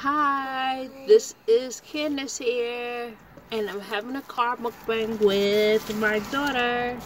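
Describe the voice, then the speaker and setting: The woman's voice is high in pitch, with fairly even intonation and a very slow pace. The sound is dry with no echo, and there is light background noise. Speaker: vlogger. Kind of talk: casual vlog chat. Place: car.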